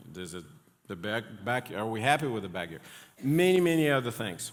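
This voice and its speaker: A man with a non-native accent and lively intonation, in audible room echo. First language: not English. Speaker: pastor. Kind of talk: sermon. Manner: halting, many fillers.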